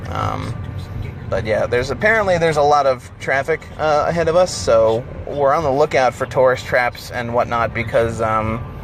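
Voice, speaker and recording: With an American accent and lively intonation, a man talks at a moderate pace and medium pitch over noticeable background noise. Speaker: road trip vlogger. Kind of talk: casual chat. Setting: in a car. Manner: halting, many fillers.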